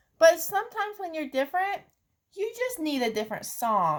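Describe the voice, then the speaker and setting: In a put-on character voice, the speaker uses an extremely high pitch, a gentle tone and very wide pitch swings. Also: moderate pace. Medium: read story.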